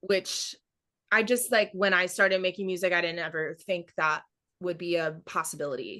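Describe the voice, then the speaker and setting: In a plain, everyday voice, a woman with an American accent speaks at medium pitch with ordinary pitch variation against a quiet background. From Florida small town. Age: 20s. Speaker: singer-songwriter. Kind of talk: interview. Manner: casual, filler-heavy.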